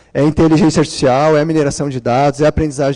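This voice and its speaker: His tone is dark and mellow, with a fairly high pitch. The man's voice has a dry, close sound with no echo. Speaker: conference speaker, PhD student in data science. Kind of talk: conference talk. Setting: conference room with audience.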